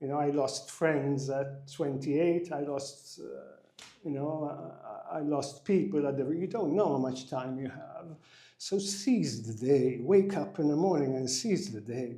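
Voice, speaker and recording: A man's fairly high voice at a fairly slow pace, with hardly any pauses, ordinary pitch variation and big swings in loudness, plus audible room echo. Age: 60s. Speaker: executive coach. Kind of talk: interview.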